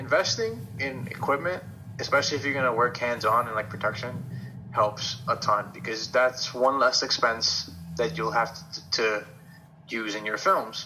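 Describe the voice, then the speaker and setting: Music plays in the background as a man speaks at a moderate pace and a medium pitch with ordinary pitch variation. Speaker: film student. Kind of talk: interview answer.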